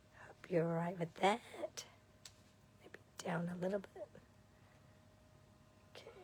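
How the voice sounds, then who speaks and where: A quiet woman's voice, fairly low in pitch, moves at a moderate pace with fairly even intonation. She leaves long, frequent pauses. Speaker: card-making demonstrator. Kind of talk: live craft tutorial.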